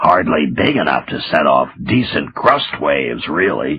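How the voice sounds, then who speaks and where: A man's put-on character voice, very deep and raspy, at a moderate pace. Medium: read story. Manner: excitable, stammers when angry.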